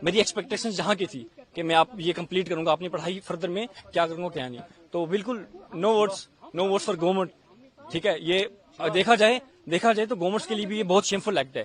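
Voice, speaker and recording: There is noticeable background noise as a man speaks in a high voice with ordinary pitch variation. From India. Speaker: Pakistani-origin resident facing deportation. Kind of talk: street interview.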